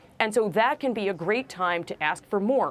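A woman's medium-pitched voice with an American accent, a fairly slow pace and lively intonation. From New York (Brooklyn); New York. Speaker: law professor and negotiation author; law professor. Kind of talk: interview.

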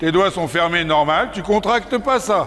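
Fairly slow speech from a man, lively in intonation, over light background noise. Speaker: riding instructor. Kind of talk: coaching instructions to a rider. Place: hall.

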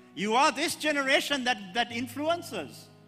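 A man speaks in a raised, projected voice with a bright, sharp tone. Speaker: preacher. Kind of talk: sermon. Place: church. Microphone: handheld.

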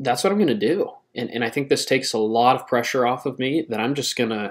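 The speech moves at a fairly quick pace against a quiet background. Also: man. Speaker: channel host. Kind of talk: casual vlog chat. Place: home room. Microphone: webcam.

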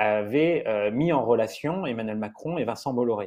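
The speaker is a man. Behind him, everything is quiet. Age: 40s. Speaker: investigative journalist. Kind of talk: interview. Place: home room. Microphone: earbuds.

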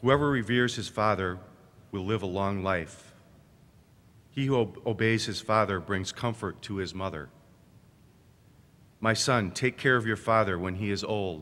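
A man's bright, sharp voice at a fairly low pitch, moderate pace and ordinary pitch variation, broken by long, frequent pauses. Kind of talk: scripture reading. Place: church. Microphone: podium.

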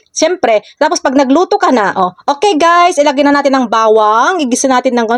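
The woman's delivery moves at a fairly quick pace. No echo is heard, and the sound stays dry and close. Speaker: social media content creator. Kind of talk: casual vlog tips.

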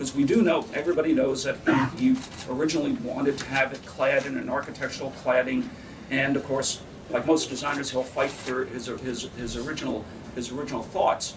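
A man with an American accent speaks at a fairly quick pace in a fairly high pitch. His intonation is fairly even, and there is noticeable background noise. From New York. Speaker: architect, committee chair. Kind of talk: press conference. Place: meeting room.

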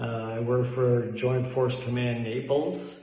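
A man with a Canadian accent talks at a fairly slow pace in a monotone, flat intonation. Room echo is audible. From Canada and Italy. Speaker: soldier. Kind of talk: recorded video message. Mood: calm, reflective. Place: home room.

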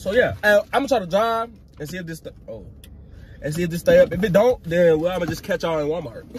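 A man talks at a very fast pace, his loudness swinging widely. Faint music plays in the background, and the sound is dry with no echo. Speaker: vlogger. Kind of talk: casual vlog chat. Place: car. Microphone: phone near.

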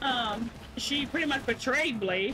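A woman speaks in a raised, projected voice. Noticeable background noise can be heard. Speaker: gaming streamer. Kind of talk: casual gameplay commentary.

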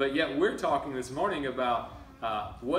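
Man at a moderate pace, with light background noise and audible room echo. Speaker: preacher. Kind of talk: sermon. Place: church. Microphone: camera far.

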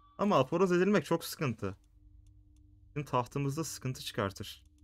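Music plays in the background as a man speaks at a moderate pace, his pitch swinging very widely. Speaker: gaming youtuber. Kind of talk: let's play commentary. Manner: casual, thinking aloud.

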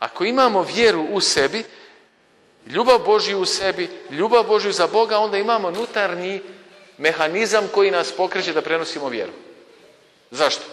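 There is noticeable background noise behind a man's high-pitched voice. He leaves long, frequent pauses. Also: ordinary pitch variation, moderate pace. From Bosnia and Herzegovina, Kupres. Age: 50s. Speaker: priest. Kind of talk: sermon.

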